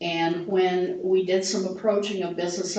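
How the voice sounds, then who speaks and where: A woman talks at a fairly slow pace in a medium pitch, her intonation monotone and flat. Noticeable background noise and audible room echo surround her. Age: 70s. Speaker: downtown volunteer group board member. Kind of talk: public meeting presentation. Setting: city council meeting.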